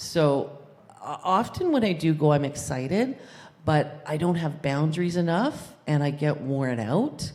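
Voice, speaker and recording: A woman speaks with a very deep, low pitch. Room echo can be heard. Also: ordinary pitch variation, fairly slow pace. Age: 60s. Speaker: congregation member. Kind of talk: testimony.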